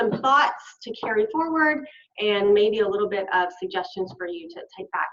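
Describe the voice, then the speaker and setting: With a Southern US accent, a woman talks at a moderate pace in a fairly high pitch, her intonation lively. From US South, Arkansas. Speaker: health literacy researcher, invited speaker. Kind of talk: conference lecture. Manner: animated.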